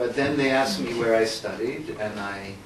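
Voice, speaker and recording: Over noticeable background noise and audible room echo, a man with an American accent talks at a moderate pace. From United States. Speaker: philosopher and author. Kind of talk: public book talk interview. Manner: hesitant, many fillers.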